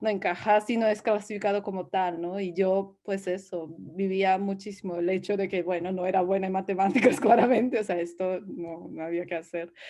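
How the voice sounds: A woman speaks at a fairly quick pace with few pauses and a medium pitch. Her tone is dark and mellow, and her intonation is fairly even.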